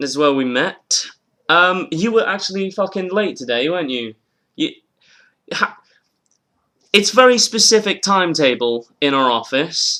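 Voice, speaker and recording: High-pitched speech from a man with a British accent, a bright, sharp tone, very wide pitch swings, a moderate pace and long, frequent pauses. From northern England. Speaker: comedian, podcast host. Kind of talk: casual chat. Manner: animated.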